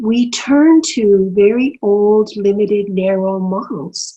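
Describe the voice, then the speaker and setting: A woman with a Canadian accent speaks in a somewhat breathy, dark, mellow tone at medium pitch, with ordinary pitch variation. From Canadian prairies. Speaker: senator and human rights lawyer. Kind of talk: interview answer.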